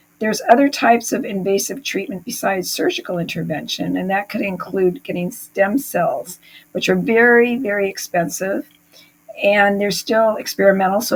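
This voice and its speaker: A woman talks at a moderate pace in a medium-pitched, somewhat breathy voice. Her pitch varies in an ordinary way. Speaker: chronic pain recovery coach. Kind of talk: talking-head explainer. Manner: hesitant with fillers.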